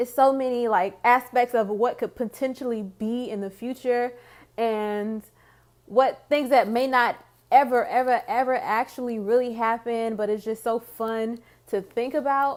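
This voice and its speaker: The voice is loud and comes at a fairly slow pace with ordinary pitch variation, on a very clean recording with a silent background. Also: woman, high pitch for a woman. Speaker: book vlogger. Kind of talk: casual vlog talk.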